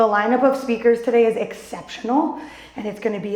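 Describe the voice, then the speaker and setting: A woman with an American accent talks very fast amid noticeable background noise and audible room echo. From northern US. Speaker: business coach and speaker. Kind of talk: conference presentation. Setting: stage with audience. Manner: animated.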